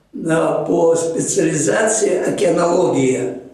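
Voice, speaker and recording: Through noticeable background noise and audible room echo, a man with a high pitch speaks with lively intonation. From Chuvashia, Russia. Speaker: marine geologist, professor. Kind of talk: interview reminiscence. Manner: halting, with frequent fillers.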